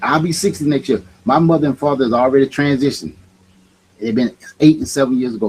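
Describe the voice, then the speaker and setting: Fairly high in pitch, this man's voice is somewhat breathy. He talks at a fairly quick pace. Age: 50s. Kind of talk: casual chat.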